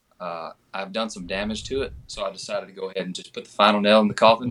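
Very fast and bright with a sharp tone, a man in a Southern US accent speaks at a fairly low pitch. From Georgia (US). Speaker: country singer. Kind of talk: casual chat.

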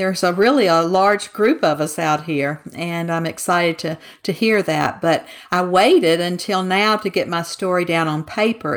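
Speaking at a fairly slow pace with a Southern US accent, a woman uses a fairly low pitch with ordinary pitch variation. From Mississippi, US South. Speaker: author. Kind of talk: casual interview chat.

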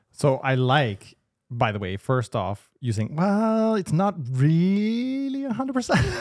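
A man with a fairly high pitch talks at a fairly slow pace, his pitch swinging very widely. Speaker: business podcast co-host. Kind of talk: casual business discussion.

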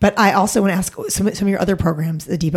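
A woman talks fairly quickly at a fairly low pitch. Her voice is somewhat breathy, with ordinary pitch variation. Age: 40s. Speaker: podcast co-host. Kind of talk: casual interview.

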